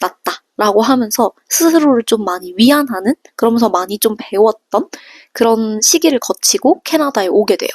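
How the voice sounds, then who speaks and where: A woman with an ordinary speaking voice, fairly high in pitch, talks at a moderate pace with lively intonation, the sound dry and close with no echo. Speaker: vlogger, working holiday hotel worker. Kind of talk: casual vlog storytelling.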